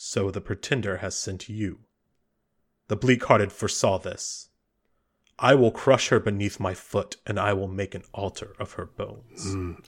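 In a very clean recording with a silent background, a man performs a put-on character voice at a fairly low pitch and a moderate pace. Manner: menacing, contemptuous.

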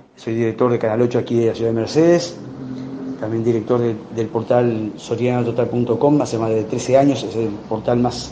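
A man speaks at a moderate pace and medium pitch with fairly even intonation. Noticeable background noise and audible room echo fill the recording. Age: 50s. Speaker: journalist and TV channel director. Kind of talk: interview.

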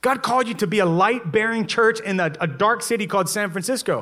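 An animated, raised and projected voice with a bright, sharp tone moves at a fairly quick pace with ordinary pitch variation amid audible room echo. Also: man. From Louisiana. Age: 30s. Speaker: pastor. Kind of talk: sermon. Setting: church.

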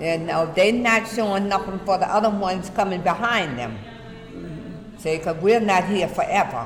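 A woman with a New York accent, medium pitch and ordinary pitch variation, fairly slow pace, over noticeable background noise. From Brooklyn, New York. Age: 60s. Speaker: retired city worker. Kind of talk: oral history interview. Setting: senior center.

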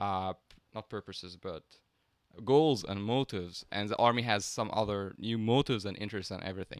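A man with an Arabic accent speaks at a moderate pace with ordinary pitch variation. The sound is dry and close with no echo, and the recording is very clean with a silent background. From Egypt. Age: 20s. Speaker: math PhD student. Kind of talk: casual chat.

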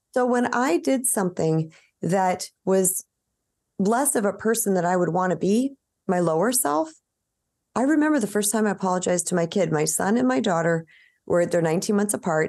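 Against a quiet background, a woman with an ordinary speaking voice talks at a fairly quick pace, a medium pitch and lively intonation. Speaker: author and healer. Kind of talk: casual interview chat.

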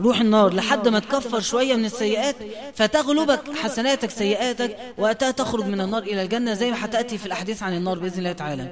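A man's high voice, with typical rises and falls, comes through noticeable background noise. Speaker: preacher. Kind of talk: religious lesson.

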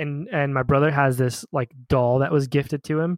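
A man with a fairly high pitch and an unremarkable speaking voice talks at a moderate pace. The recording is dry, close and very clean, with no echo and a silent background. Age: 30s. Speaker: movie podcast co-host. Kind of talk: casual chat.

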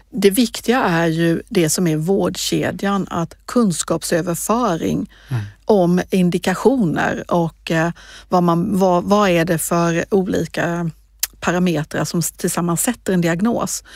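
The recording is very clean and the background silent. A woman talks very slowly. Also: fairly low pitch for a woman, ordinary pitch variation. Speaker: regional politician. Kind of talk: interview. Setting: podcast studio.

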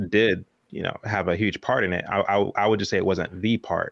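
This man has an unremarkable speaking voice, fairly low in pitch with fairly even intonation, at a fairly quick pace. The sound is dry and close with no echo, against a quiet background. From Texas, near Dallas. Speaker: entrepreneur and documentary filmmaker. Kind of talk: casual interview.

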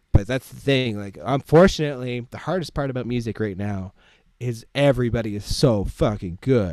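A man with a Canadian accent and an ordinary speaking voice talks at medium pitch and moderate pace, with lively intonation and big swings in loudness. The recording is very clean, with a silent background. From Ottawa, Ontario, Canada. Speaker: DJ and music producer. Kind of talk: casual interview chat.

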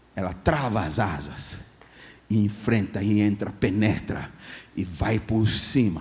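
Somewhat breathy and fairly low-pitched, a man speaks at a very slow pace with audible room echo. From Ghana. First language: English (speaking Portuguese). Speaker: guest pastor. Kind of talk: sermon.

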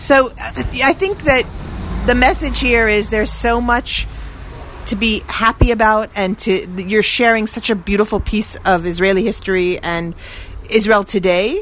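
In a plain, everyday voice, a woman speaks at a fairly high pitch and a fairly slow pace, with ordinary pitch variation. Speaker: radio reporter host. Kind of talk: interview on location. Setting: outdoors street.

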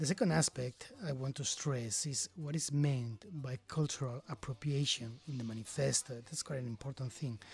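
A somewhat breathy male voice at a moderate pace, with ordinary pitch variation, hardly any pauses and a dry, close sound with no echo. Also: medium pitch for a man. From Galicia, Spain. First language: Spanish or Galician. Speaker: DJ and record label co-founder. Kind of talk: casual conversation.

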